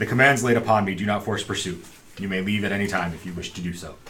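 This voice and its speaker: A man puts on a robotic character voice, fairly low in pitch, at a very fast pace. Clear background noise sits behind him. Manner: solemn, formal.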